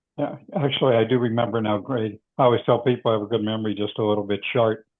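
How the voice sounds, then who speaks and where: Keeping his intonation fairly even, a man speaks at a very fast pace. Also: medium pitch for a man. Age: 70s. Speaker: meeting chair. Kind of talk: online meeting chat.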